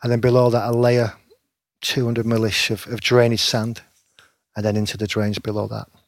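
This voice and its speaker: Speaking at a moderate pace with long, frequent pauses, a man keeps a medium pitch and a monotone, flat intonation. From northern England, Preston (Lancashire). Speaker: stadium groundkeeper. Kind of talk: casual interview.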